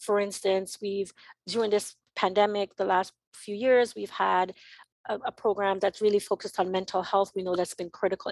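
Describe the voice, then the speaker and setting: Flat, monotone intonation from a woman at a medium pitch, delivered at a moderate pace. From Jamaica, then Connecticut from about age 13. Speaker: nonprofit executive director. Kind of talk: interview. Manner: hesitant, many fillers.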